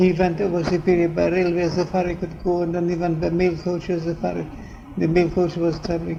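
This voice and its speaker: Against noticeable background noise, the speaker talks at a fairly quick pace with monotone, flat intonation. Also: man, high pitch for a man. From North Caucasus, Russia. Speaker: ordained preacher. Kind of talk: interview answer.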